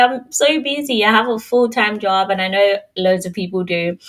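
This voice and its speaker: A woman at a medium pitch with lively intonation and a moderate pace, over noticeable background noise. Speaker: podcast host. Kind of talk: casual chat. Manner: animated.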